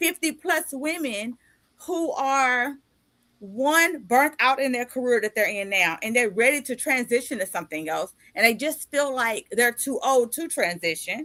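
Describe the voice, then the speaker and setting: A woman speaks at a moderate pace in a high pitch with a bright, sharp tone. Her delivery is animated, with very wide pitch swings. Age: 50s. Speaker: podcast host and author. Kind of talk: casual interview chat.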